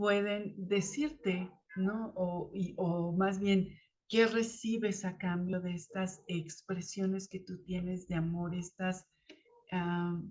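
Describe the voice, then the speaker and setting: A woman's somewhat breathy, medium-pitched voice at a very slow pace, with fairly even intonation. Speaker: spiritual channel host, tarot reader. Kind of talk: spiritual talk to camera. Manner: halting, many fillers; uneven loudness, rising and falling.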